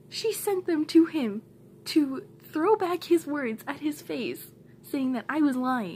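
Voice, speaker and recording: Light background noise sits behind a woman with a high pitch. She speaks at a very slow pace with lively intonation. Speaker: vlogger. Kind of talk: angry rant. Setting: home, recorded to camera. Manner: fired-up, emphatic, repeating lines for punch; blunt, heated, defiant. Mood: upset, venting frustration. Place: home room. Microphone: phone near.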